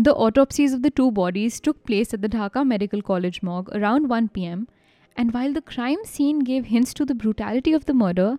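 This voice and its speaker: With a dark, mellow tone and a fairly high pitch, a woman speaks at a moderate pace with ordinary pitch variation, the sound dry and close with no echo against a quiet background. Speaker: podcast host. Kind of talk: true-crime narration. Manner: grave, measured storytelling delivery.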